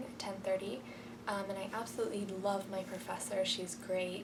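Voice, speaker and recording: A woman speaks quietly at a moderate pace and medium pitch. Noticeable background noise and audible room echo surround her voice. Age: young. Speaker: college freshman vlogger. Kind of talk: casual video diary. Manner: hesitant, many ums.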